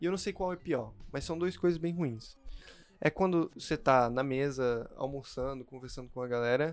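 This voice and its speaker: A man's fairly high, normal speaking voice at a moderate pace with ordinary pitch variation. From Chile and the Philippines. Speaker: pharmacy student. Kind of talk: casual chat.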